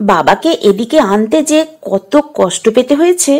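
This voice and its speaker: In a put-on character voice, a woman speaks very slowly, her high, raspy tone swinging very widely in pitch. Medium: read story.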